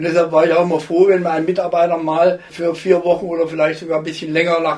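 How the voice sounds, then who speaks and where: Over noticeable background noise, a man speaks at a high pitch in a flat monotone. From Thuringia, Germany (Jena). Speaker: retired professor of biophysics. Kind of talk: interview.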